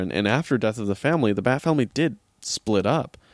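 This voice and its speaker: A man with a normal speaking voice, fairly quick pace and lively intonation, in a dry, close recording with no echo, very clean with a silent background. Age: 20s. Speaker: podcast host. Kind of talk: casual solo podcast talk about comics. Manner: many filler words (uh, um).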